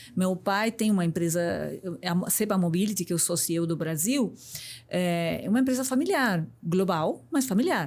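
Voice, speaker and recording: In a Uruguayan accent, a woman speaks at a moderate pace and medium pitch with lively intonation and very even loudness, in a very clean recording with a silent background. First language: Spanish (speaking Portuguese). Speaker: business executive and mentor. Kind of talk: podcast interview.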